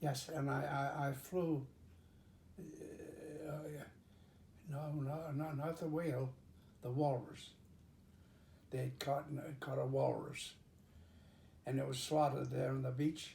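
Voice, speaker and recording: A man speaks very slowly in a flat monotone, with long, frequent pauses. His voice is fairly high, somewhat breathy, and dark and mellow in tone. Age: 80s+. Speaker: pilot. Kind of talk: interview answer.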